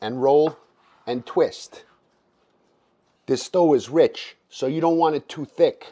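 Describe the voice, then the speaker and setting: Pausing long and often, a man with a Boston accent speaks at a very slow pace. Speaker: home cook. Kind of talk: cooking tutorial narration. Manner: casual, profane.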